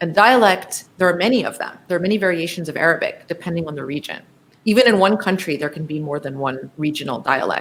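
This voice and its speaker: Speaking very fast, a woman uses lively intonation with an American accent. Her pitch is fairly low. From US, New Jersey. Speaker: professor of Arabic. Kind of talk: interview conversation.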